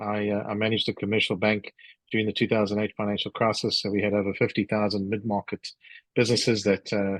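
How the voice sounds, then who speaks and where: Here a man with a South African accent talks very fast at a fairly low pitch with monotone, flat intonation. The sound is dry and close with no echo, and the background is quiet. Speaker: business executive and author. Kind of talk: interview. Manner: halting, many fillers.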